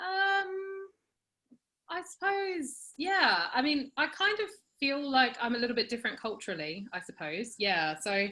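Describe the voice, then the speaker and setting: Projecting her voice, a woman speaks at a fairly slow pace. Her high pitch moves in very wide swings. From Australia (Perth), born in New Zealand. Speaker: interviewee. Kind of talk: personal interview.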